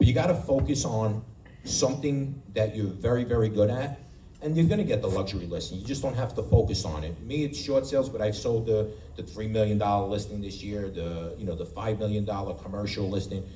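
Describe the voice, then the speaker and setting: A man with an American accent and a fairly low, somewhat breathy voice speaks with lively intonation in audible room echo. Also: fairly quick pace. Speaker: real estate agent. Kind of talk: panel talk to audience. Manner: halting.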